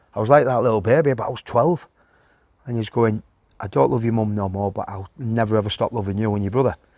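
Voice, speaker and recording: With a Yorkshire accent, a man talks at a very fast pace, using a medium pitch and ordinary pitch variation. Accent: Yorkshire (Hull). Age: 50s. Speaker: former professional footballer. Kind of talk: casual interview.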